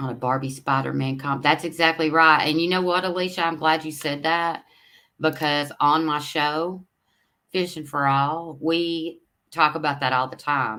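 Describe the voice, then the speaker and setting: A woman's very deep, low voice with a bright, sharp tone and an East Tennessee accent, at a moderate pace with fairly even intonation. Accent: Southern US (East Tennessee). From US South, Knoxville, Tennessee. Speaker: fishing livestream host. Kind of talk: casual livestream chat reading viewer comments. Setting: live stream. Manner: rambling, hesitant with fillers.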